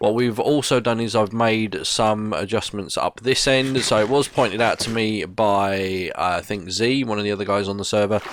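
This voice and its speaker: With noticeable background noise, a man talks at a moderate pace with fairly even intonation and hardly any pauses. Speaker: gaming video creator. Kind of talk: gameplay commentary. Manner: casual, hesitant with fillers.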